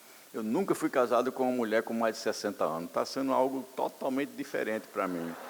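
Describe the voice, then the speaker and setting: Fairly quick in pace, a man talks at a medium pitch with ordinary pitch variation. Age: 60s. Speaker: pastor. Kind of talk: sermon. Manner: animated.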